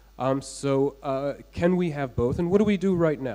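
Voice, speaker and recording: The man's tone is dark and mellow. His intonation is lively. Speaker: debater on crypto scaling. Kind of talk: debate. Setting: stage with audience. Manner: fast.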